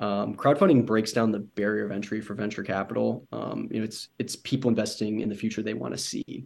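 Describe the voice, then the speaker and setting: A man with an American accent speaks at a fairly quick pace with hardly any pauses, his fairly low voice flat and monotone with vocal fry. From US Midwest, Michigan. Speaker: sustainable fashion startup co-founder. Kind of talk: casual interview.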